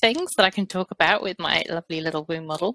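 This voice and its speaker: Speaking in a British accent, a woman with a fairly low pitch and ordinary pitch variation is recorded with a dry, close sound with no echo. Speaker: fertility therapist. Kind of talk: podcast interview.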